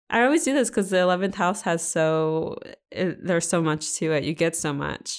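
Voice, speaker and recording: A woman speaks at a fairly low pitch and a moderate pace. The recording is very clean, with a silent background. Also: ordinary pitch variation. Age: 30s. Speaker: astrology podcast host. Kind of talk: casual chat. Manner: animated.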